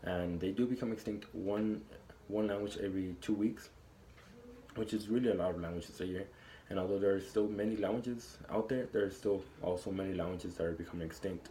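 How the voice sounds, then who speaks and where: At a fairly quick pace, a man speaks with a somewhat breathy voice and a dark, mellow tone. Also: fairly low pitch for a man, ordinary pitch variation. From Texas, El Paso. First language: Spanish. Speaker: college student. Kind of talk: class speech. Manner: halting, with fillers and restarts.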